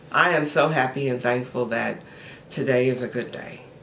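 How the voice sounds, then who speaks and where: In a put-on, raspy character voice at a low-to-middle pitch, someone talks at a moderate pace over light background noise. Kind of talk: unenthusiastic affirmation. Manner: flat, half-hearted, unconvincing.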